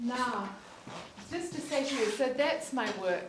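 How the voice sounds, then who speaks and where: A woman with a New Zealand accent and a fairly high voice, at a fairly slow pace with lively intonation, amid audible room echo and noticeable background noise. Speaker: facilitator. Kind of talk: conference talk.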